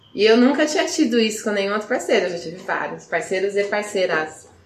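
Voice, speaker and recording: Over noticeable background noise, a woman with a fairly high voice talks at a fairly quick pace. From Brazil, Campinas. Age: 20s. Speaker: podcast guest. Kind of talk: casual chat.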